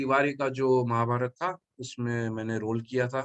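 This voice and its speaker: A man's voice comes through dry and close, with no echo at all. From Mumbai, India. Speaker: actor. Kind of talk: interview. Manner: halting.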